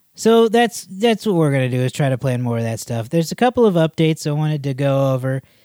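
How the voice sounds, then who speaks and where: A man speaks at a fairly quick pace with a fairly high pitch, very wide pitch swings and a dark, mellow tone. The recording is very clean and dry, close with no echo, over a silent background. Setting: studio.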